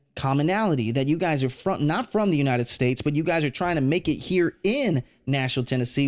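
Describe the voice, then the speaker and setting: A man with an American accent speaks with lively intonation at fairly high pitch, in an ordinary speaking voice. The recording is very clean, with a silent background. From Texas, San Antonio. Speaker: podcast host. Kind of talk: casual interview chat.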